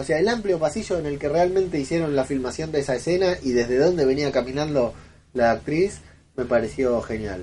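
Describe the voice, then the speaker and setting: With an Argentine accent, a man talks at a fairly quick pace in a fairly high pitch with lively intonation, over noticeable background noise. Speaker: podcaster. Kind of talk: recorded voice message. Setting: self-recorded audio.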